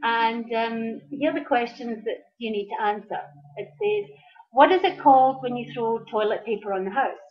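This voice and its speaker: Over music in the background, a woman speaks at a moderate pace in a fairly high voice with ordinary pitch variation. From Scotland. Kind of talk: casual vlog talk to camera.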